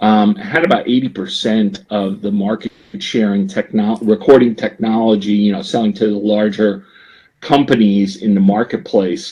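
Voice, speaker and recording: A man speaks at a moderate pace with a New Jersey accent. His fairly low voice has a dark, mellow tone. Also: ordinary pitch variation. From US Northeast, New Jersey. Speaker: business executive. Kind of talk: podcast interview. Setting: podcast.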